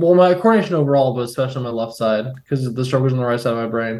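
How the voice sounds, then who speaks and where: A man talks in a fairly high register, his pitch varying in a typical way. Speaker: brain injury survivor. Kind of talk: interview.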